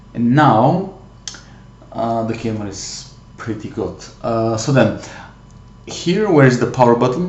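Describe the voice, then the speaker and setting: With a non-native accent, a man speaks at a fairly slow pace and a medium pitch, with lively intonation. Room echo is audible, and background noise is noticeable. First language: not English. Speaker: tech hobbyist youtuber. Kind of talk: tutorial. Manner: halting, many fillers.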